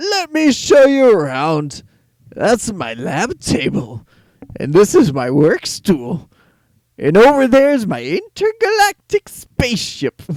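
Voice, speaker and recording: Using a put-on character voice, a man talks fairly slowly at a high pitch, the sound dry and close with no echo. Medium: read story. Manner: doddering, muddled.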